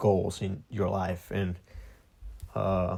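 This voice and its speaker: A man with a non-native accent speaks at a very deep, low pitch in a dark, mellow tone. His pace is very slow and his intonation monotone and flat. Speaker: podcast host. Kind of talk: personal monologue podcast. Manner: hesitant, many fillers.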